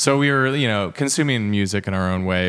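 With an American accent, a man speaks at a fairly low pitch and a moderate pace on a very clean recording with a silent background. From US Midwest, rural Indiana. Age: 30s. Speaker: record store owner and noise musician. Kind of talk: interview. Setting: in a record store.

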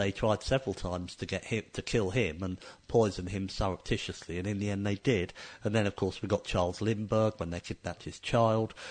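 A man's normal speaking voice, fairly low in pitch, at a fairly quick pace with fairly even intonation over a quiet background. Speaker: radio host. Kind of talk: radio interview.

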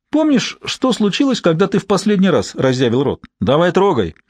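A man does a put-on character voice at a high pitch and a fairly quick pace, with very wide pitch swings and a slightly mellow tone.

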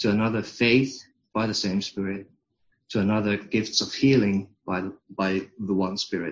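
A man with a Finnish accent talks in a fairly low pitch with fairly even intonation. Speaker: congregation member reading scripture. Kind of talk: scripture reading.

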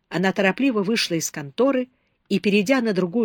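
Reading aloud in a natural voice, with ordinary pitch variation and a quiet background.

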